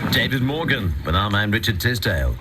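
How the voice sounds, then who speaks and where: A man talks at a fairly quick pace with lively intonation. Noticeable background noise and audible room echo surround him. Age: 60s. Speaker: radio host. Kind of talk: radio show presenting.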